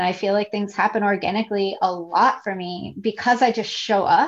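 The speaker has a Canadian accent. Pitch rises and falls by an ordinary amount. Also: woman. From Canada, Toronto. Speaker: digital nomad and virtual assistant. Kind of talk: podcast interview. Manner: animated.

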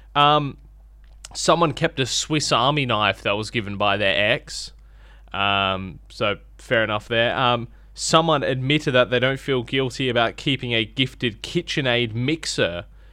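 Recorded very cleanly with a silent background, a man of medium pitch talks at a fairly slow pace with ordinary pitch variation. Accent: Australian. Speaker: radio host. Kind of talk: radio DJ patter, breezy breakfast-show banter with jingles and ad tags. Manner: animated.

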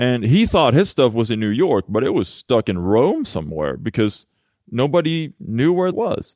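A man with a Swedish accent at medium pitch, moderate in pace, with very wide pitch swings. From Sweden, Halmstad. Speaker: blockchain company executive. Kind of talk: podcast interview. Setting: in-person recording in Gothenburg.

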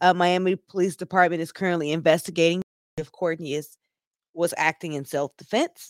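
A woman uses an ordinary speaking voice at a fairly low pitch. Her pace is fairly quick and her intonation fairly even. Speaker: podcast co-host. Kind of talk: casual chat.

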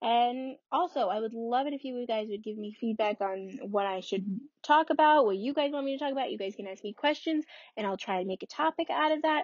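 Speaking fairly quickly with lively intonation, a woman with a high pitch uses an American accent. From New York (Bronx, Rockland County). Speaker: podcast host, college student. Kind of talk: casual monologue.

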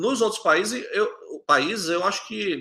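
A man speaks in a bright, sharp tone. His intonation is lively. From northern Brazil, Manaus. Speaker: infrastructure technology executive. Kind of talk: interview on live video show.

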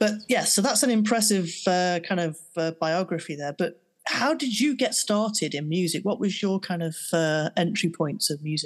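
Using a normal speaking voice, a woman talks at a moderate pace and medium pitch with lively intonation and hardly any pauses. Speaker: podcast co-host. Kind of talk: casual interview chat.

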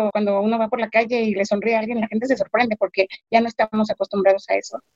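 A woman speaks at a fairly high pitch with a Mexico City accent. The sound is dry and close, with no echo. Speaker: bereaved mother. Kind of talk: testimony.

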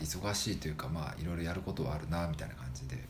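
A man with a slight Fukui accent and vocal fry is heard with audible room echo. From Japan, Fukui. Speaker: podcast co-host. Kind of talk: casual chat.

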